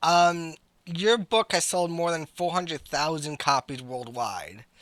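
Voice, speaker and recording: Fairly high-pitched for a man, an ordinary speaking voice talks at a fairly slow pace in a very clean recording with a silent background. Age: 20s. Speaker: interviewer. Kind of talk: interview.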